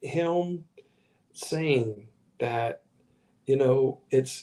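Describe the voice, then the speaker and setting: Very slow speech from a man with an American accent, medium in pitch and dark, mellow in tone, with ordinary pitch variation. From Virginia, US (Richmond). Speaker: pastor. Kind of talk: livestream sermon. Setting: live stream while traveling.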